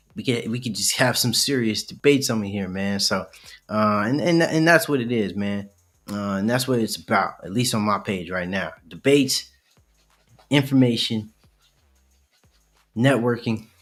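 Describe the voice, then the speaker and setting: Music plays behind a man talking at a moderate pace in a medium pitch. His pitch varies in an ordinary way, and he takes long, frequent pauses. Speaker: sports streamer. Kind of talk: casual livestream talk. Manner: unscripted, halting.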